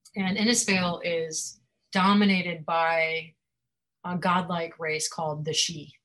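A woman's plain, everyday voice, fairly low in pitch, with fairly even intonation at a fairly slow pace. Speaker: fantasy author. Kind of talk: author interview with a reading from her book. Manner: laughs often, chatty.

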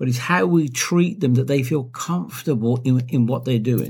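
The voice is somewhat breathy at a moderate pace. The recording is very clean with a silent background. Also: man. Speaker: podcast co-host. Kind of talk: casual chat.

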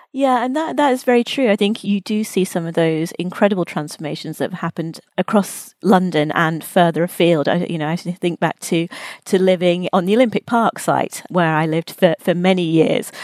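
Speaking at a fairly quick pace with hardly any pauses, a woman uses an ordinary speaking voice, medium in pitch with ordinary pitch variation. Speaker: podcast host. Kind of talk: interview, professional conversation.

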